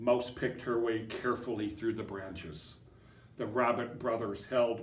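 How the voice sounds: Simply a natural reading voice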